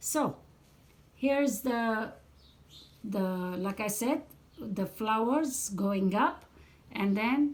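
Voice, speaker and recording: A woman speaks with a fairly high pitch, a somewhat breathy quality, and ordinary pitch variation. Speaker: needle lace crafter and tutorial maker. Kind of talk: tutorial. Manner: slow.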